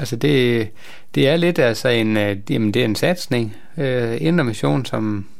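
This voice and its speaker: A man's very slow, medium-pitched speech with ordinary pitch variation and audible room echo. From northern Jutland, Denmark (near Skagen). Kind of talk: radio interview. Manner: halting, many hesitations.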